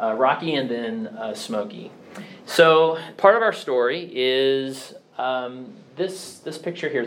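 Lively intonation marks this man's speech. Room echo is audible, and background noise is noticeable. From US Midwest, Kansas City area (Blue Springs, Missouri). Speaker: church elder. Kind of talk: personal testimony.

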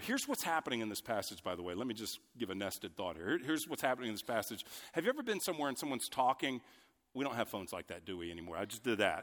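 A man talks at a very fast pace with very wide pitch swings. The recording is very clean, with a silent background. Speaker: pastor. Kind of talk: sermon. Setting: church. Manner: loud.

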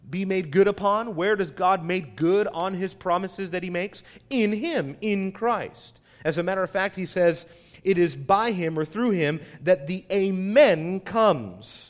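A loud, high male voice with ordinary pitch variation at a fairly slow pace. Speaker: pastor. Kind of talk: sermon. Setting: church.

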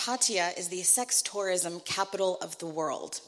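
Speaking fairly slowly, a woman has a normal speaking voice with a medium pitch and ordinary pitch variation. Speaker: church mission trip member. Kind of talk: church testimony. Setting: church.

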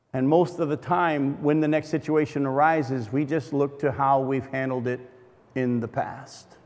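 A man speaks at a moderate pace with fairly high pitch and fairly even intonation. He has an unremarkable speaking voice. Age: 50s. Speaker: guest preacher. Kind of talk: sermon. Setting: church fellowship hall.

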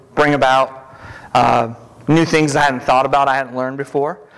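A man speaks with fairly even intonation. His pitch is fairly high. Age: 40s. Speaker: lay preacher. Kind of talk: sermon. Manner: fast.

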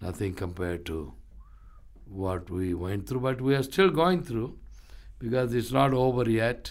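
With an Indian accent and a medium pitch, a man speaks with very wide pitch swings and long, frequent pauses. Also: fairly slow pace. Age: 60s. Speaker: ministry founder and pastor. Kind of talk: interview, testimony.

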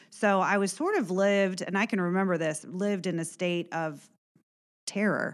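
With an American accent, a woman speaks at a moderate pace in an unremarkable speaking voice, using fairly even intonation and very even loudness. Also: medium pitch for a woman, very clean recording, silent background. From Indiana, Warren County. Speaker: former schoolteacher. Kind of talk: personal testimony.

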